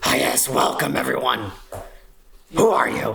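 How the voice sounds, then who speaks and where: A woman's put-on character voice, raspy and gruff, at a moderate pace with audible echo. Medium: actual play.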